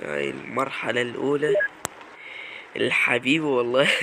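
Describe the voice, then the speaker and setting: A man at a very slow pace, with ordinary pitch variation, over noticeable background noise. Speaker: gaming YouTuber. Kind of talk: gameplay commentary. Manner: animated.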